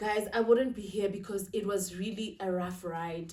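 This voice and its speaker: A woman at a medium pitch sounds somewhat breathy, talking at a moderate pace with ordinary pitch variation. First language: Zulu. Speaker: lifestyle vlogger. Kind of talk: sit-down vlog monologue. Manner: casual, code-switching.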